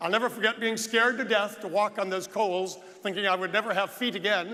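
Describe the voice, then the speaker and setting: The voice is raised and projected, moving at a fairly quick pace. Its pitch varies in an ordinary way. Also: man. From United States. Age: 60s. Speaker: real estate agent and conference speaker. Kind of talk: motivational speech. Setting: stage with audience.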